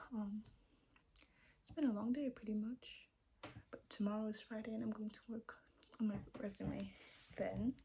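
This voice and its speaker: The voice is quiet. Long pauses come often. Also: moderate pace. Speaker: vlogger. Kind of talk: casual vlog monologue. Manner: hesitant, searching for words.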